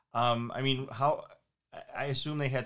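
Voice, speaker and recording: The speaker talks at a moderate pace with an Upper Midwest accent. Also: man. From Minnesota, St. Paul. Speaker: podcast host and family lawyer. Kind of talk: casual interview. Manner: halting.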